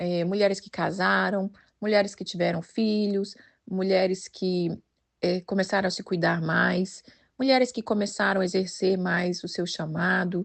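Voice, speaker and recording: An unremarkable speaking voice at a fairly slow pace, with fairly even intonation and big swings in loudness. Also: woman, medium pitch for a woman. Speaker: women's devotional leader. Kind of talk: devotional talk.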